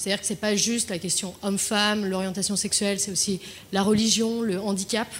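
Speaking fairly quickly at a medium pitch, a woman keeps a monotone, flat intonation. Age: 20s. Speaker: client solutions manager. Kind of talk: panel discussion. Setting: dinner debate with audience. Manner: halting.

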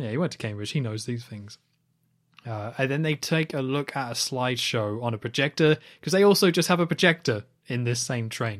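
With a British accent, a man speaks at a medium pitch and a fairly quick pace. His intonation is lively, and the recording is very clean with a silent background. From UK. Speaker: podcast co-host. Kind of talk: casual chat.

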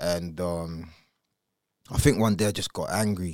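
Speech from a man, captured on a very clean recording with a silent background. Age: 30s. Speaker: podcaster. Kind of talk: interview. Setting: studio.

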